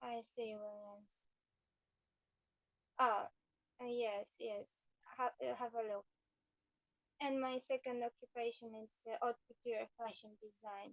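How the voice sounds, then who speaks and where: The speaker has a strong Eastern European accent and a fairly slow pace with long, frequent pauses, recorded dry and close with no echo. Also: woman, fairly high pitch for a woman. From Poland. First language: Polish. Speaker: painter and fashion designer. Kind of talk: livestream chat while painting. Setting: live video stream. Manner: halting.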